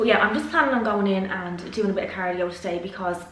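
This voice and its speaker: Someone talks at a very fast pace, with audible room echo. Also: woman. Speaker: vlogger. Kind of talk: casual vlog chat. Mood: nervous but chatty. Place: kitchen. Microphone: phone near.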